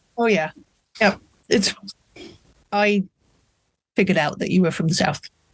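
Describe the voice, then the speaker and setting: In a British accent, a man with a high pitch speaks at a moderate pace with fairly even intonation and long, frequent pauses, in a dry, close sound with no echo. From England. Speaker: author. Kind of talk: casual interview chat.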